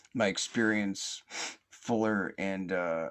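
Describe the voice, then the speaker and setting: A man is speaking. His pitch is very deep and low. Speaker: podcast host. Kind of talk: casual chat. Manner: slow, halting with many fillers.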